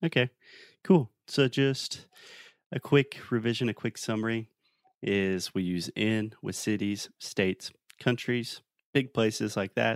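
At a fairly slow pace with long, frequent pauses, a man with a South Carolina accent speaks at a medium pitch with ordinary pitch variation, in a dry, close sound with no echo. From US South. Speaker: English teacher. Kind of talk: casual lesson. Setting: remote call.

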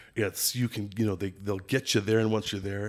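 In a Minnesotan accent, a man speaks with monotone, flat intonation and a fairly low pitch on a very clean recording with a silent background. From Minneapolis, Minnesota. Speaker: lodge general manager and fishing guide. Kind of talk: casual interview chat.

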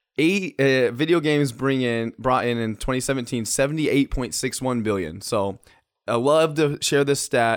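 Using a plain, everyday voice, the man talks at medium pitch and a moderate pace, with ordinary pitch variation. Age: 30s. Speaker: podcast host. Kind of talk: casual chat.

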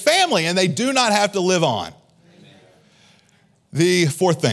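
A high-pitched man talks at a fairly quick pace in an animated tone with lively intonation. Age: 40s. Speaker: pastor. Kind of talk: sermon. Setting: church with congregation.

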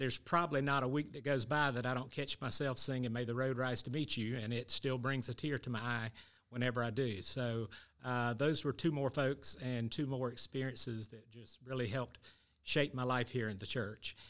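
A man with a Southern US accent speaks with fairly even intonation. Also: medium pitch for a man, moderate pace. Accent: Southern US (Georgia). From US South. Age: 50s. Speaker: church member. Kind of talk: interview.

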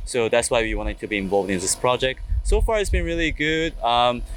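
A man talks with a Korean accent at a moderate pace. Noticeable background noise can be heard. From South Korea. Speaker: engineering graduate student. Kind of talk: interview. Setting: conference venue. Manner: hesitant, many fillers.

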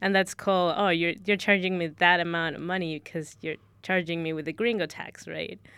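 With a Spanish accent, a woman speaks at a fairly low pitch and a moderate pace, using fairly even intonation and hardly any pauses. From Ecuador. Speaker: recent university graduate. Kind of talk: casual chat.

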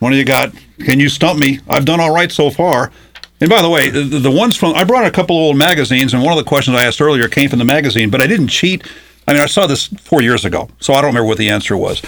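A man's fairly high, very fast voice with lively intonation and very even loudness, over noticeable background noise. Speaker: radio host. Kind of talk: casual interview chat. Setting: radio studio.

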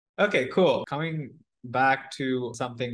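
At a moderate pace, the speaker has an ordinary speaking voice. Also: man. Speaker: podcast host. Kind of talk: casual interview.

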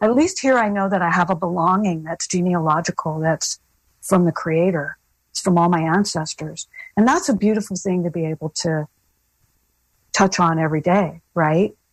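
In a very clean recording with a silent background and a dry, close sound with no echo, a woman speaks at medium pitch, somewhat breathy, with lively intonation. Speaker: filmmaker and journalist. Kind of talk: interview.

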